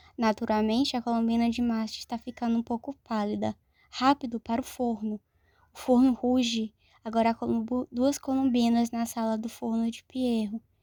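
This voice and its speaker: A woman with a fairly high pitch and a dark, mellow tone speaks at a moderate pace in a flat monotone. The recording is very clean and dry, with a silent background and no echo. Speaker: audiobook narrator. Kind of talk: reading aloud. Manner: occasional slips in diction.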